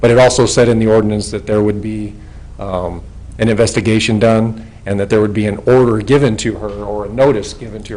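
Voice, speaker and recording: With an American accent, a man talks fairly quickly at a fairly low pitch with ordinary pitch variation, amid noticeable background noise and audible room echo. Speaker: retired police officer speaking at public hearing. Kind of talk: public comment at council meeting. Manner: loud.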